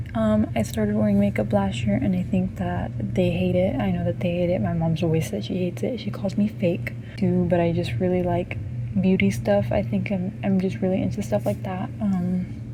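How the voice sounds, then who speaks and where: A woman speaks quietly at a moderate pace. Noticeable background noise and audible room echo come through. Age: 18. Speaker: vlogger. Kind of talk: casual chat. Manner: quiet, lowered voice; hesitant, many ums.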